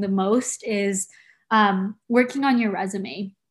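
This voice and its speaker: A woman's somewhat breathy voice. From San Diego, California (born in Tokyo, Japan). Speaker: university undergraduate advisor. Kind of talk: casual interview chat. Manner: hesitant, many fillers.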